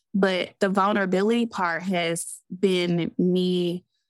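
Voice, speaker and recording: A Southern US accent in a dry, close sound with no echo. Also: woman, very clean recording, silent background. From US South. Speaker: therapist and business owner. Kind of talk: casual interview chat.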